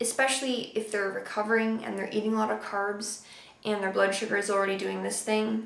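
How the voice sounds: A woman speaks at a fairly quick pace and medium pitch, showing vocal fry and little pitch movement. Strong room echo fills the recording.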